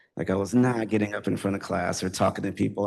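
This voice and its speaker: There is vocal fry in this man's fairly low-pitched voice. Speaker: poet. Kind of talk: poetry reading with talk. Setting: stage with audience. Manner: hesitant, many fillers.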